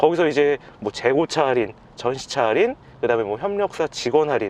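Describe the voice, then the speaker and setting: A man with a normal speaking voice talks at a fairly quick pace in a fairly high pitch, his intonation lively. The sound is dry and close, with no echo. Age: 30s. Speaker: technical sales at car parts supplier. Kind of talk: interview answer.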